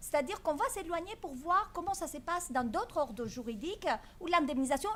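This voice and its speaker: A woman talks with a Greek accent against noticeable background noise. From Greece. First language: Greek (speaking French). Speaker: law professor. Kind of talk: conference talk. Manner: hesitant, many fillers.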